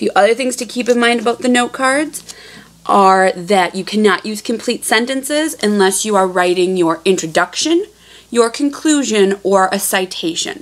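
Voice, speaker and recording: In a plain, everyday voice, the speaker moves at a moderate pace with lively intonation. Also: woman, fairly high pitch for a woman. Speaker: teacher. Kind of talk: tutorial.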